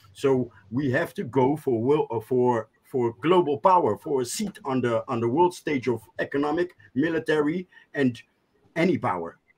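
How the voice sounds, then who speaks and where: With faint music in the background, a man speaks at a moderate pace with lively intonation. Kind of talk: casual chat. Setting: video call. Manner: halting. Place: home room. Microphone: video call.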